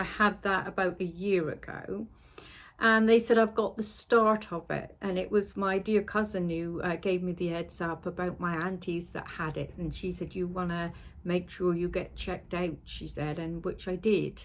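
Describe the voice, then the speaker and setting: Here a woman speaks with a Cornish accent at a moderate pace. Her pitch is medium and her intonation fairly even. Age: 60s. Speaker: sewing vlogger. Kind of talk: casual vlog chat. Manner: chatty, hesitant with fillers.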